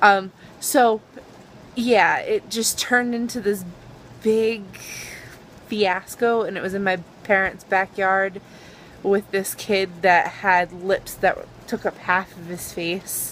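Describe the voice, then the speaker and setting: With a Boston accent, a woman speaks at a very slow pace with fairly even intonation and long, frequent pauses. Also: medium pitch for a woman, big swings in loudness. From Boston area. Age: 20s. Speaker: YouTuber. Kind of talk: casual vlog.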